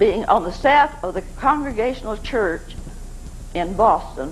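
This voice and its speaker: A woman talks at a fairly slow pace in a fairly high pitch, with very wide pitch swings. Noticeable background noise can be heard. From Arkansas. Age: 80s+. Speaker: navy chaplain's wife. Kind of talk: spoken memoir talk.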